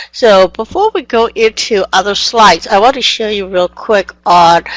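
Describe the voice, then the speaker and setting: A woman with a non-native accent, in a dry, close sound with no echo. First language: not English. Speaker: software trainer. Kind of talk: online training session. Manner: energetic.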